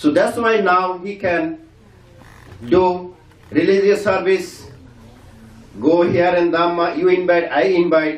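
Audible room echo surrounds a man's high voice. He speaks at a fairly slow pace. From Bangladesh. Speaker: community member; speaker. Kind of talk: farewell speech. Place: hall.

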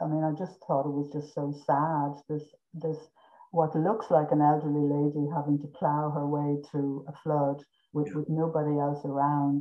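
Against a quiet background, the speaker talks at a moderate pace in a southeastern Irish accent. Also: woman. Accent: south-east Irish. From Ireland, Carrick-on-Suir (south-east); Ireland. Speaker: visual artist; guest. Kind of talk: interview. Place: home room. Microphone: video call.

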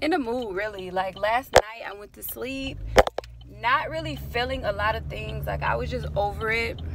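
Loud background noise surrounds a woman speaking at a moderate pace, and the sound is dry with no echo. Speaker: vlogger. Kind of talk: casual vlog chat. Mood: serious, vulnerable, reflective. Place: car. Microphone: phone near.

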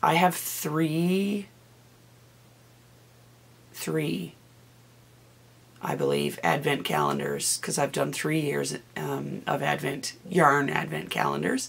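At a slow pace with long, frequent pauses, a woman speaks low and raspy with vocal fry and lively intonation.

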